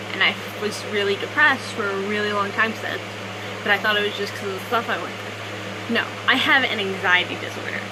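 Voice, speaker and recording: Audible room echo and noticeable background noise surround a woman speaking at medium pitch with fairly even intonation. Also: fairly quick pace. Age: 20s. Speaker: vlogger. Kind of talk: casual vlog monologue. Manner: fast; halting, self-correcting.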